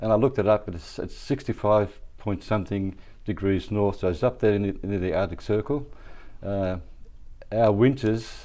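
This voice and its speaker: A man's fairly low voice with a dark, mellow tone against a quiet background. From Wollongong, Australia (from age 7). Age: 70s. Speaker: wheelchair basketball club founder. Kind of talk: podcast interview. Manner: halting, many fillers.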